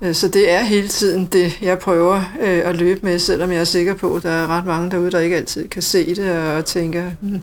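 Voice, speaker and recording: The speech moves at a moderate pace with hardly any pauses. The intonation is monotone and flat. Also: woman, fairly low pitch for a woman. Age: 50s. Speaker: hospital IT manager, former nurse. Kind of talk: interview.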